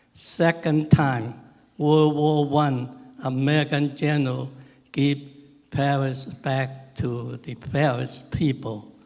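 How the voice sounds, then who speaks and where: Delivery comes at a very slow pace with fairly even intonation. Noticeable background noise runs through the clip. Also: man, fairly high pitch for a man. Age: 90s. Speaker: war veteran. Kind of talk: ceremony speech. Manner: halting.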